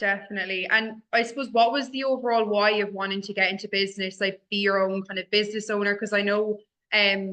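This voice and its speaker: A woman in an Irish accent, medium-pitched and monotone, flat in intonation, at a very fast pace. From Ireland. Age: 20s. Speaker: office manager, ex-radio host, co-host. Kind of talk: casual interview chat. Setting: office.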